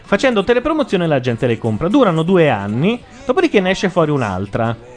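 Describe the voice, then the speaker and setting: Noticeable background noise sits behind a man talking at a very fast pace. His high voice makes very wide pitch swings. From southern Italy, Lecce (Apulia). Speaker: web radio host. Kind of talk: casual chat. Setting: studio.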